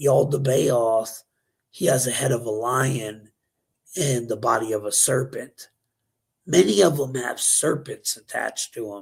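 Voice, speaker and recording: At a fairly slow pace with long, frequent pauses, a man speaks somewhat breathily with ordinary pitch variation. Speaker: conspiracy news show host. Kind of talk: casual talk show.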